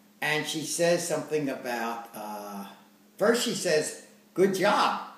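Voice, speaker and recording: A man speaks over noticeable background noise. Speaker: storyteller recounting his life. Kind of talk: casual conversational storytelling.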